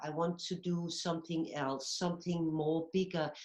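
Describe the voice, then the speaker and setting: An ordinary speaking voice from a woman, pitched fairly low and moving at a moderate pace. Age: 60s. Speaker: movement therapy teacher. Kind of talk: interview.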